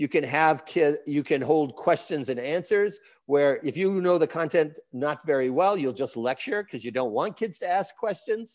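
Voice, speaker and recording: A man with an American accent speaks with lively intonation and hardly any pauses at a fairly high pitch. The background is quiet. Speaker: education professor and center director. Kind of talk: conference lecture. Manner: fast.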